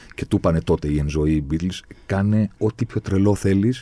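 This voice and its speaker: A man's dark, mellow voice of fairly low pitch, dry and close with no echo. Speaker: podcast host. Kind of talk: casual chat. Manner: animated.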